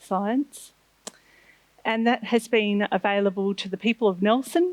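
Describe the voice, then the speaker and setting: In a very clean recording with a silent background and a dry, close sound with no echo, a woman with an Australian accent speaks at a medium pitch with ordinary pitch variation. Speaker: marine scientist. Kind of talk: lecture.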